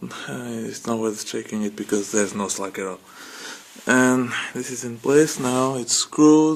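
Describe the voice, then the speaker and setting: Over noticeable background noise, a man with a non-native accent speaks at a fairly slow pace with ordinary pitch variation. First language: not English. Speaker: car hobbyist. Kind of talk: tutorial. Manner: casual, hesitant with fillers.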